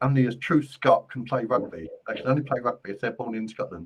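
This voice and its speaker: Speaking in a Cockney accent, a man talks fairly quickly at a medium pitch. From London, England. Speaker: psychic medium. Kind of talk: live-stream card reading. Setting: live stream. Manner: casual.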